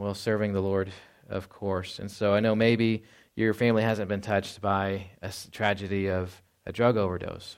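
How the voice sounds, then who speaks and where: The recording is very clean with a silent background. A man speaks at a moderate pace in a fairly low, monotone, flat voice. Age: 30s. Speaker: pastor. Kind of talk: sermon. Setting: church.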